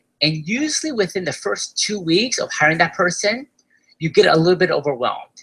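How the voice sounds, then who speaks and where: Someone with an Argentine accent speaks at a fairly quick pace. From Argentina. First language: Spanish. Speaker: online business course seller. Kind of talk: sales pitch webinar.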